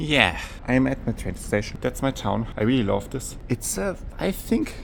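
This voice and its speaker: A man speaks at a moderate pace with a German accent. Noticeable background noise runs under his voice. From Germany. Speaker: gaming and history youtuber. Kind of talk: casual travel vlog; scripted narration. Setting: outdoors.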